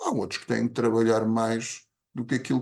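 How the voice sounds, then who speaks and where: In an unremarkable speaking voice, a man talks at medium pitch and a moderate pace. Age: 60s. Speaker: podcast co-host. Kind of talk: casual chat.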